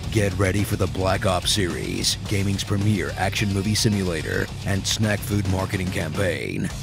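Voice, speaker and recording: A man speaks in a flat monotone at a moderate pace, his pitch fairly low and his loudness very even. He hardly pauses, with music playing in the background. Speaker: voiceover narrator. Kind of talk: parody movie trailer narration. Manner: sarcastic.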